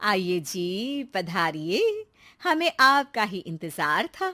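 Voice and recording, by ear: A woman uses a put-on character voice with a bright, sharp tone and big pitch swings at a very slow pace. The recording is very clean with a silent background. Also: medium pitch for a woman.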